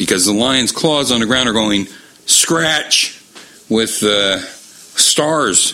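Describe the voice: A plain read-aloud delivery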